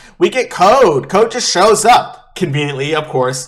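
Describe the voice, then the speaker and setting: A man's voice over noticeable background noise. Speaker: anime YouTuber. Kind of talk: casual commentary. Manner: animated; loud.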